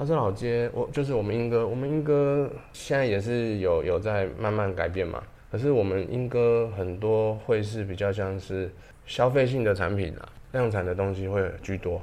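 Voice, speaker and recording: Room echo is audible as a man speaks at a moderate pace. His pitch is fairly low, with ordinary variation. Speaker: ceramic artist and pottery teacher. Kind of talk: casual interview.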